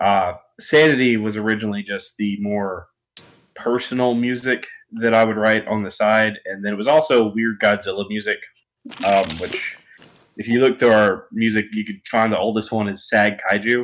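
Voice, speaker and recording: A fairly low-pitched man with an American accent, at a moderate pace with fairly even intonation. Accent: southern, sometimes thick. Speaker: rock band guitarist and songwriter. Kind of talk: casual interview. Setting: live stream interview.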